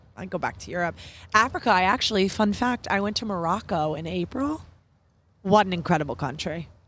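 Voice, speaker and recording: With an American accent and a normal speaking voice, a woman talks at a fairly quick pace with medium pitch and lively intonation, recorded very cleanly against a silent background. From New York. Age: 20s. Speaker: podcast guest, marketing professional. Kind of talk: casual interview chat. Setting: outdoors in a park.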